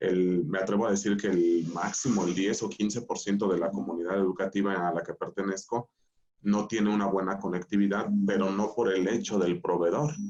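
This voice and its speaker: Using a plain, everyday voice, the speaker keeps a moderate pace and fairly even intonation. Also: man, fairly low pitch for a man. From Mexico, Michoacán. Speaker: school director. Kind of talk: panel discussion.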